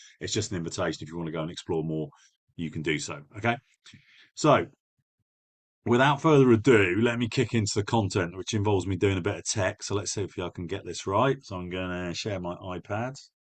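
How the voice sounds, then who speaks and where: A man speaks at a fairly quick pace with a fairly low pitch and lively intonation. He leaves long, frequent pauses over a quiet background. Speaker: business coach. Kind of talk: webinar presentation. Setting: online live webinar. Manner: fast; direct.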